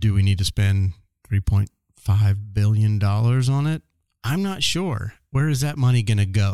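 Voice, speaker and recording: A man with a fairly low pitch speaks at a fairly slow pace, with ordinary pitch variation, very even loudness, and a dry, close sound with no echo. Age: 40s. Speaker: podcast host and photographer. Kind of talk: casual solo monologue. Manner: halting, many fillers and restarts.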